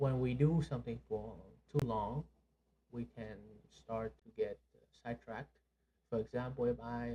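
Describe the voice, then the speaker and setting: A man talks at a fairly slow pace in a somewhat breathy voice with a dark, mellow tone and ordinary pitch variation. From Vietnam. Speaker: podcast co-host. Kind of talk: casual chat. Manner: halting, many fillers.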